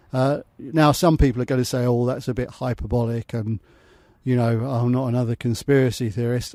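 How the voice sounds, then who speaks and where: In a very clean recording with a silent background, a man with an English accent speaks at a fairly quick pace in a medium pitch, his dark, mellow tone carrying fairly even intonation. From England. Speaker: expat entrepreneur. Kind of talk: casual talk to camera.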